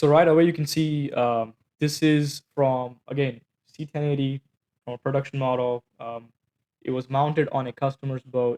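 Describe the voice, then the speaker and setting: This man has a non-native accent, a fairly high pitch and a dark, mellow tone. He speaks at a moderate pace with monotone, flat intonation. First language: not English. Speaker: company founder and engineer. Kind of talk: product demo. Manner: halting, many fillers.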